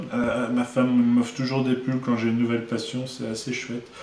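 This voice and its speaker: A man with a medium pitch speaks in a monotone, flat intonation. Noticeable background noise and audible room echo surround him. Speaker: board game publisher. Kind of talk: casual video presentation. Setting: office. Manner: hesitant, many fillers.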